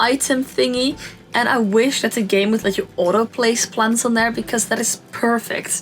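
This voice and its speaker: Speaking fairly slowly with a non-native accent, a woman keeps a fairly even intonation at a fairly high pitch. Noticeable background noise runs under her voice. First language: not English. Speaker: Sims speed-build YouTuber. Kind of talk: casual gameplay commentary. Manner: chatty, with many fillers.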